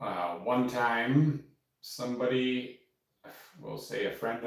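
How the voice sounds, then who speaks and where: A man at a very slow pace, with audible room echo. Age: 40s. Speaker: painter. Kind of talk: casual live stream chat. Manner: quiet talker; rambling with fillers.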